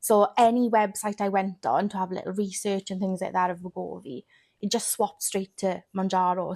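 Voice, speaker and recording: A woman with a Welsh accent speaks at a fairly quick pace and a medium pitch. The sound is dry and close with no echo, on a very clean recording with a silent background. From Wales. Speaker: weight loss content creator. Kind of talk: podcast interview.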